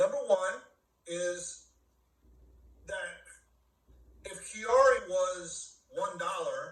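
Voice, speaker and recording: The speech comes at a very slow pace with long, frequent pauses. Room echo is audible. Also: man. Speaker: network marketing leader. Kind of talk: business training talk.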